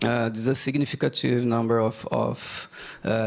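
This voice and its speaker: A man speaks at medium pitch with a Brazilian accent. His pace is moderate. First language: Portuguese. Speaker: bank executive. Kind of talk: conference presentation. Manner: halting, hesitant.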